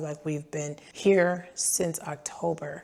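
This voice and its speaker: A woman's very deep, low voice in a monotone, flat delivery, over noticeable background noise. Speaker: food truck owner and vlogger. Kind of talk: story time vlog.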